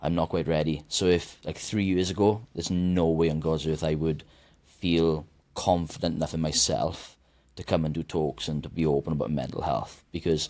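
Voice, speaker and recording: On a very clean recording with a silent background, a man speaks in a very deep, low pitch with fairly even intonation. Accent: Welsh. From Wales. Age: 30s. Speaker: mental health advocate and author. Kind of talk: podcast interview. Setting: studio. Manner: fast.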